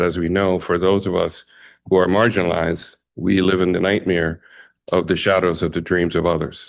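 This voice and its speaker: Fairly quick, flat, monotone speech with an American accent against a quiet background. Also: man. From Bahamas (Jamaican family). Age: 60s. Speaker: community leader, award recipient. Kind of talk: acceptance speech. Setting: ceremony with audience. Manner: halting, many fillers.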